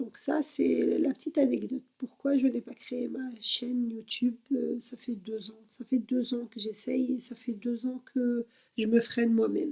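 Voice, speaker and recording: A woman with a high pitch speaks at a fairly slow pace. Her loudness swings widely. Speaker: YouTuber. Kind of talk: personal introduction vlog. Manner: halting, many fillers.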